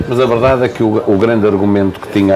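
Noticeable background noise fills the recording. A man talks at a very fast pace. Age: 50s. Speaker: radio host. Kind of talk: interview. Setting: live broadcast from a café.

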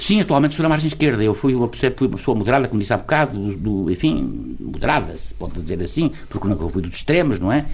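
Full of vocal fry, a man's fairly low voice takes very wide pitch swings at a very fast pace. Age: 70s. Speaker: lawyer, writer and former politician. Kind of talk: interview. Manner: halting.

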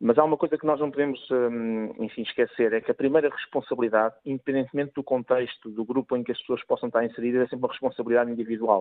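A man with a medium pitch rattles along at a very fast pace, his intonation fairly even. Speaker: former football referee. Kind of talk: radio debate interview.

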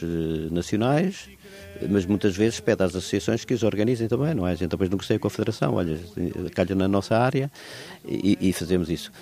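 With music in the background, a man talks in a very deep, low pitch with ordinary pitch variation. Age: 70s. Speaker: cycling association president. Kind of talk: interview.

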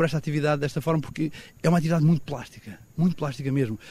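A man speaks very fast with a somewhat breathy voice. His pitch rises and falls in an ordinary way. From Portugal, Algarve southwest coast. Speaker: photographer. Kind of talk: interview.

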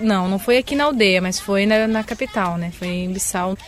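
Medium-pitched woman with a Brazilian accent, ordinary pitch variation and a moderate pace. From southern Brazil. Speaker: missionary. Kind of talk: interview.

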